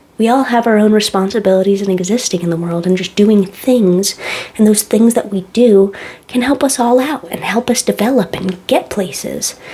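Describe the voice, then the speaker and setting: A woman speaks at a moderate pace with a medium pitch and ordinary pitch variation, over noticeable background noise. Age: 20s. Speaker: tattoo artist. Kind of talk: casual chat. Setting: home kitchen. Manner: soft-spoken.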